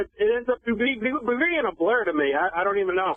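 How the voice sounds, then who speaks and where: Speaking with an American accent, a man uses an extremely high pitch and lively intonation at a moderate pace. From Boston. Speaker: radio call-in caller. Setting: phone. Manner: stutters, repeats words and syllables.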